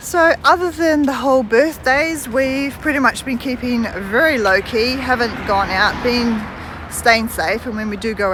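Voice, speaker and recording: A woman speaks with a high pitch and lively intonation at a fairly slow pace. Noticeable background noise and audible room echo come through. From New Zealand. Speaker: vlogger. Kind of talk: casual vlog chat. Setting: outdoors, walking.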